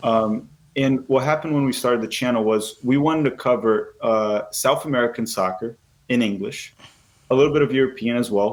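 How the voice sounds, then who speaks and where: Speaking fairly quickly with a Portuguese accent, a man keeps his loudness very even, his pitch medium and his pitch variation ordinary. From Brazil. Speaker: soccer YouTuber. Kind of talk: podcast interview.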